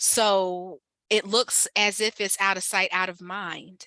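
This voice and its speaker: A woman with a slight Ohio accent speaks in a medium pitch with a bright, sharp tone and monotone, flat intonation. The sound is dry and close, with no echo. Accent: slight Ohio country twang. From Ohio, Mansfield. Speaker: community health organizer. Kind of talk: guest talk. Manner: casual, conversational.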